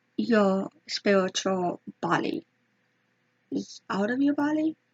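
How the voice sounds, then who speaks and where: A woman whispers at a very slow pace in a somewhat breathy voice. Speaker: YouTuber. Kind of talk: casual storytelling vlog. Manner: hesitant; whispering. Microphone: may be too quiet.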